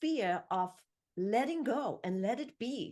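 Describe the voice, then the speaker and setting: With lively intonation, a woman speaks at a fairly slow pace and fairly high pitch in a German accent. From Germany. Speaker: podcast host and author. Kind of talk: interview.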